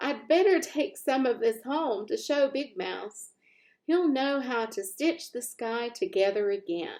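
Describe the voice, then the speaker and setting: A woman puts on a squeaky character voice at a high pitch. She speaks at a fairly slow pace. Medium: read story. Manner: excitable.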